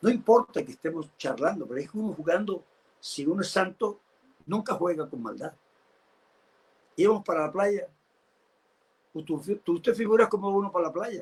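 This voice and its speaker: A man talks in a high pitch with lively intonation. His loudness swings widely, and he takes long, frequent pauses. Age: 70s. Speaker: pastor. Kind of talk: sermon.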